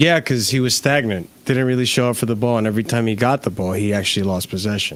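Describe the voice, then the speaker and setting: With an American accent, a man of medium pitch talks at a very fast pace with hardly any pauses and ordinary pitch variation. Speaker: football reaction co-host. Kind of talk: casual chat.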